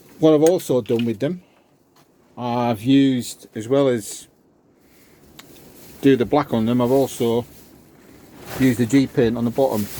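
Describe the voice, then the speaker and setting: With a Cumbrian accent, a man at medium pitch talks with fairly even intonation and long, frequent pauses. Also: moderate pace. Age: 60s. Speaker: amateur golfer. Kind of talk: casual show-and-tell video.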